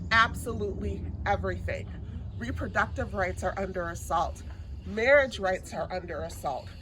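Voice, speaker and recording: Speaking at a moderate pace, a woman is heard with audible room echo and noticeable background noise. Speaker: politician. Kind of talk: campaign speech. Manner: soft-spoken.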